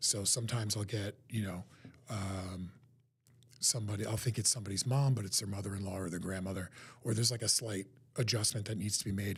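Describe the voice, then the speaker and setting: This man talks at a very fast pace with an American accent and fairly low pitch. His intonation is fairly even, and his voice is somewhat breathy. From New Jersey, US. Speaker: psychic medium. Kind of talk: live-stream talk to viewers. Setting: live online stream.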